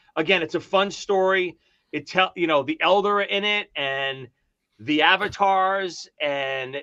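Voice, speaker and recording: In a Brooklyn accent, the voice has a bright, sharp tone and ordinary pitch variation, set against a quiet background. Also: man. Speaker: author of a fantasy novel, KISS fan. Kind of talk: casual chat.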